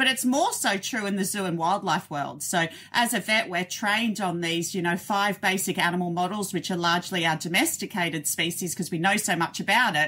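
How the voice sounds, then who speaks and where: A woman with an Australian accent speaks at a fairly quick pace with hardly any pauses, her medium-pitched voice bright and sharp in tone, with ordinary pitch variation. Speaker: zoo veterinarian. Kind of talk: casual interview. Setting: remote call from her office.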